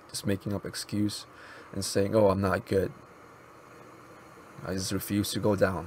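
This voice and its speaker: Pausing long and often, a man with a fairly low pitch talks at a moderate pace in monotone, flat intonation. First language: Mizo. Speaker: YouTuber and app developer. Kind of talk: casual vlog monologue. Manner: halting, with many pauses and fillers.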